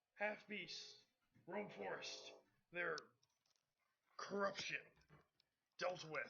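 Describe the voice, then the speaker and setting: A raspy, put-on character voice sits at a middle pitch. It moves at a very slow pace with long, frequent pauses. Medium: actual play. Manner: halting, broken phrases.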